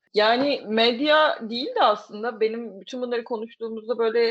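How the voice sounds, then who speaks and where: A woman at a moderate pace. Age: 30s. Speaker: podcast host. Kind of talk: casual chat. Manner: animated, laughing often.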